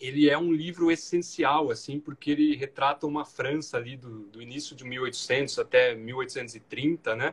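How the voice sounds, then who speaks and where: A man's fairly high voice with big swings in loudness, a fairly slow pace, hardly any pauses, somewhat breathy delivery and fairly even intonation. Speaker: federal judge. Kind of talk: interview conversation.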